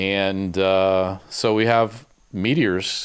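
A man with an unremarkable speaking voice talks in a fairly low pitch with fairly even intonation. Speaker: podcast host. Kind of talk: casual chat.

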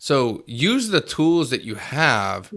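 A man speaks with an American accent in a bright, sharp tone. The recording is very clean, with a silent background. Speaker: podcast host. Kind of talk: casual interview. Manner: animated.

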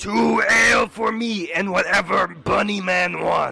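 In a put-on character voice, a man speaks fairly slowly, raspy and high-pitched, raising and projecting his voice while faint music plays behind him. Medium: actual play. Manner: broken, simple speech.

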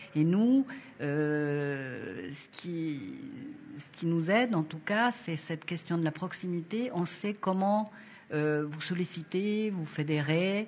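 A woman's fairly low-pitched voice with lively intonation. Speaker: design school coordinator. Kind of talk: casual interview.

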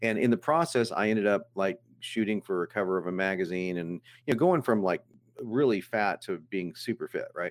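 Heard dry and close with no echo on a very clean recording over a silent background, a man with a fairly low pitch talks at a fairly quick pace in an ordinary speaking voice. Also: ordinary pitch variation. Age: 50s. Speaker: copywriter. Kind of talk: interview.

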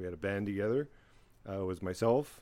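With a plain, everyday voice, a man talks fairly low in pitch, varying it in an ordinary way. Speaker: podcast guest. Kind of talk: casual banter.

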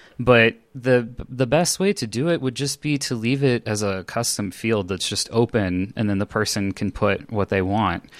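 Speaking with a West Coast US accent, a man keeps a moderate pace and ordinary pitch variation in a dry, close sound with no echo. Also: medium pitch for a man, hardly any pauses. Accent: General American, West Coast. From Los Angeles, California. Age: 30s. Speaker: LGBTQ community organizer and UX design student. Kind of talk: casual interview chat. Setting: remote recording session.

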